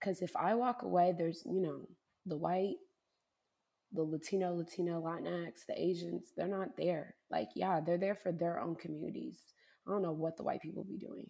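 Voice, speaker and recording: This woman speaks at a moderate pace in an American accent, her fairly low voice carrying a dark, mellow tone and ordinary pitch variation. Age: 20s. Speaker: medical student. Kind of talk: casual interview.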